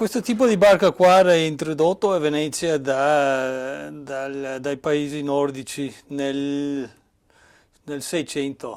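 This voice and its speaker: A man talks at a very slow pace with a slight English accent. His pitch is fairly high, with ordinary variation. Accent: slight English accent in Italian. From Cornwall, England. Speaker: boat builder, carpenter. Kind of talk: workshop tour explanation. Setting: boatbuilding workshop. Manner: halting, many fillers and restarts.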